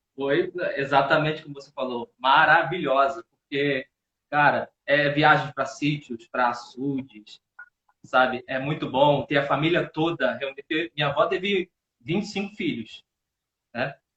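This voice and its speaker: A man speaks at a fairly slow pace in a fairly high, bright, sharp voice with big swings in loudness, the sound dry and close with no echo. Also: ordinary pitch variation. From Paraíba, Brazil (childhood), later Rio de Janeiro. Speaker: actor and theatre teacher. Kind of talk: casual live interview. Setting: live video stream.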